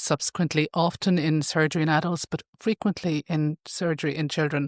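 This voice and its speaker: A woman's very deep, low pitch at a fairly quick pace with fairly even intonation, dry and close with no echo, on a very clean recording with a silent background. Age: 60s. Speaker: ICU consultant doctor. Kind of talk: podcast interview.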